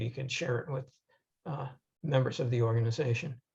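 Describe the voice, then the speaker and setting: This man's voice sits at a medium pitch, somewhat breathy, its intonation fairly even. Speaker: audiologist and researcher. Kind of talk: lecture. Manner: hesitant with fillers.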